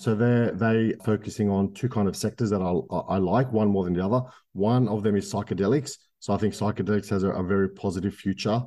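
A man with an Australian accent, fairly low pitch and a dark, mellow tone, at a fairly quick pace with fairly even intonation, very even loudness and a quiet background. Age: 30s. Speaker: microcap investor and property landlord. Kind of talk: interview.

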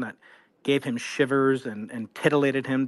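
A man's fairly high voice, a normal speaking voice, at a moderate pace with fairly even intonation over a quiet background. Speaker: audience member. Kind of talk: question from audience. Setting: online audio space.

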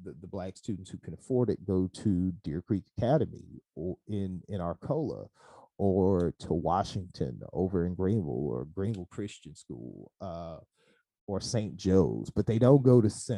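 In a Mississippi accent, a man talks at a fairly slow pace with very deep, low pitch and a dark, mellow tone. His intonation is lively, his loudness swings widely, and the sound is dry and close with no echo. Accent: US Southern, Mississippi. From Mississippi Delta, Hollandale. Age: 30s. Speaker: high school teacher. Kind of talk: casual interview.

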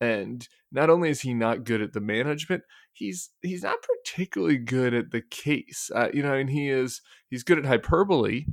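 On a very clean recording with a silent background, a man with a plain, everyday voice talks at a fairly quick pace and medium pitch, his intonation lively. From US, Denver. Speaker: political commentator. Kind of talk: casual chat.

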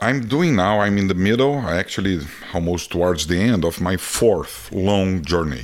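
A man's very deep, low voice with a Brazilian accent, lively intonation and a moderate pace. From Brazil (Rio de Janeiro). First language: Portuguese. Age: 50s. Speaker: photographer and traveler. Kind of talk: casual interview conversation. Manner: animated storyteller, laughs often.

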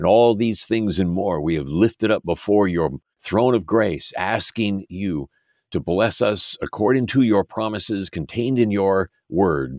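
An unremarkable speaking voice from a man with an American accent, fairly low in pitch and fairly slow, with ordinary pitch variation, a dry, close sound with no echo, and a very clean recording with a silent background. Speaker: prayer podcast host. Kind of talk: fervent prayer, earnest and reverent. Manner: earnest, humble, pleading.

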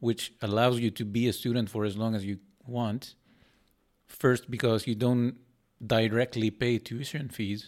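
On a very clean recording with a silent background, a man speaks at a fairly slow pace in a medium pitch, with monotone, flat intonation and long, frequent pauses. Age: 30s. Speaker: professor. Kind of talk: casual chat.

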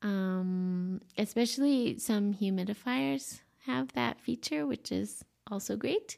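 A woman's warm, relaxed tone at medium pitch and very slow pace, with very wide pitch swings on a very clean recording with a silent background. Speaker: life coach podcast host. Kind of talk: solo podcast monologue, conversational. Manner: warm, relaxed, with frequent filler words.

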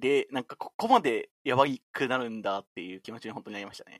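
A man with an ordinary speaking voice talks at medium pitch and a fairly quick pace. The sound is dry and close, with no echo. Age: 20s. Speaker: software engineer with a mathematics degree. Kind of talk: casual chat.

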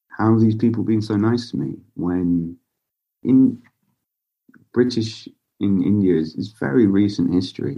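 This man has a fairly low pitch and a dark, mellow tone, speaking at a moderate pace with ordinary pitch variation and long, frequent pauses. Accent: southern English. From southern England (Basingstoke, Hampshire). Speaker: clothing brand founder. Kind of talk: interview conversation. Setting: remote call.

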